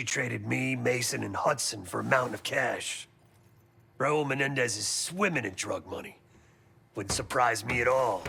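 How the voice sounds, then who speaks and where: A man's put-on, raspy character voice at a medium pitch and moderate pace. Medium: video game. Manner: clipped, sardonic.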